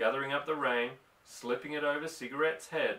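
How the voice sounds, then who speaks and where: With an Australian accent, a man speaks at a fairly high pitch over noticeable background noise. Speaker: audiobook reader. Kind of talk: novel reading.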